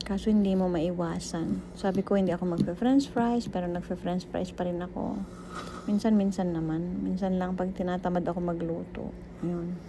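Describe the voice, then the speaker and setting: A soft-spoken woman at a fairly low pitch and moderate pace, with fairly even intonation over noticeable background noise. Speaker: cooking vlogger. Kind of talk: casual vlog narration.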